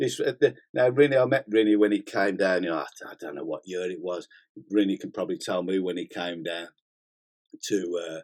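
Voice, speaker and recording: A man with a British accent, fairly low in pitch with ordinary pitch variation, at a fairly quick pace with big swings in loudness. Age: 60s. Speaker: gym owner and bodybuilding channel host. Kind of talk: casual live-stream chat. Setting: studio. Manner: animated, swearing freely.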